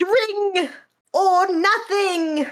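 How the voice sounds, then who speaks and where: The voice sits at an extremely high pitch. It is a put-on character voice. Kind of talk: imitation of a film character, judged poor by the speaker. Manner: hissing, raspy.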